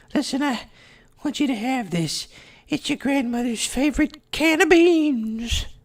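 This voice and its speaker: A put-on character voice, pitched high, speaks at a moderate pace. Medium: game stream. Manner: gruff, awkwardly sentimental.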